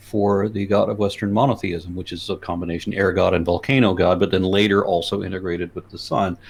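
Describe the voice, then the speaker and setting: With an American accent and a fairly low pitch, a man speaks at a fairly quick pace over a quiet background. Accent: faint Los Angeles accent, fought back. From US Southwest and Texas. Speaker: YouTuber and atheist activist. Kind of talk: interview. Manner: halting, with many restarts.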